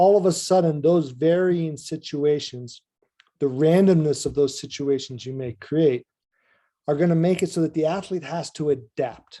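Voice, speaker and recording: A man speaks at a fairly high pitch in a dark, mellow tone with ordinary pitch variation. The recording is very clean, with a silent background. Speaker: ski coach presenter. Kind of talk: presentation at coaches meeting. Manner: fast.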